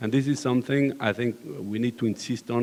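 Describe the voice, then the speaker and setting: With a French accent, a man speaks at a moderate pace. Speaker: construction company manager. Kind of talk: panel discussion. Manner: hesitant, many fillers.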